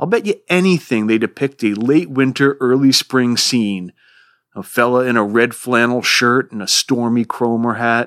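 At a moderate pace and with ordinary pitch variation, the speaker has an American accent, recorded with a dry, close sound with no echo, very clean and over a silent background. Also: man. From US Northeast, Rhode Island. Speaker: literature podcast host. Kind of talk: lecture.

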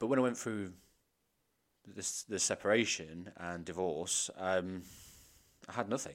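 A man speaks with an English accent at a very deep, low pitch and a fairly slow pace. His pitch varies in an ordinary way, and he leaves long, frequent pauses. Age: 30s. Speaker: podcast co-host. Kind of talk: casual chat.

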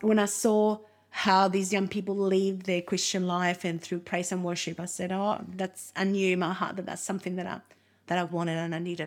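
A fairly quick pace with monotone, flat intonation in a Spanish accent. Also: woman, medium pitch for a woman. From Uruguay. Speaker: minister and missions committee member. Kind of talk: casual interview conversation.

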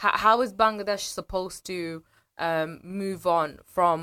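The recording is very clean, over a silent background. A woman talks, her pitch varying in an ordinary way. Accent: British. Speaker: commentator on history and politics. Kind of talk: casual radio chat. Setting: radio studio. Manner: animated.

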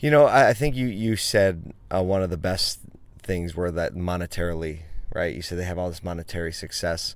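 Audible room echo surrounds a voice with lively intonation that moves at a fairly quick pace. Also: man, very deep, low pitch for a man. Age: 40s. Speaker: entrepreneur, marketing agency owner. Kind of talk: casual interview. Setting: in a car at a conference.

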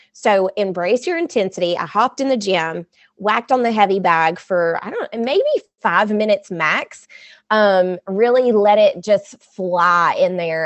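An unremarkable speaking voice from a woman at medium pitch. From US South. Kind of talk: casual interview.

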